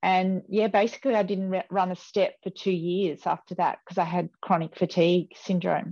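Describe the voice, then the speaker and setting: With an Australian accent, a woman speaks at a moderate pace in a dark, mellow tone, medium in pitch and monotone and flat in intonation, the sound dry and close with no echo over a quiet background. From Australia, rural New South Wales (Riverina). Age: 50s. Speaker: former Olympic distance runner. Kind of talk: casual interview.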